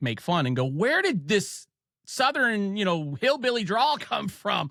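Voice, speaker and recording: A man talks with an Ohio accent. His intonation is lively and his pace moderate. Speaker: podcast host. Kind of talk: casual chat.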